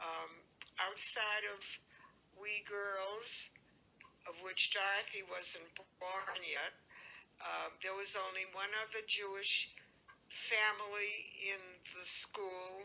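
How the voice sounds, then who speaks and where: A woman's medium-pitched, monotone, flat voice at a very slow pace, with long, frequent pauses and noticeable background noise. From Worcester, Massachusetts. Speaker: elderly mother recounting her life. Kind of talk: oral history interview. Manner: halting, with frequent fillers.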